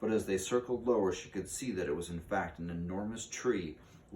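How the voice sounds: The voice reads naturally, and its pitch varies in an ordinary way.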